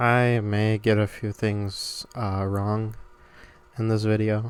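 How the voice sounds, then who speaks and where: In a flat monotone, a man with a fairly low voice speaks at a very slow pace. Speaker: voice actor. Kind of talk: casual talk to camera.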